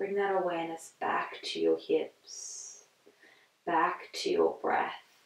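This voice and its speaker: Audible room echo surrounds a woman who talks at a very slow pace. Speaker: yoga instructor. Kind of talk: guided moving meditation, gentle spoken yoga cues. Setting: home practice video, on a yoga mat. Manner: slow, soothing and soft-spoken with long pauses; warm, encouraging and non-judgmental, repeating allow and just.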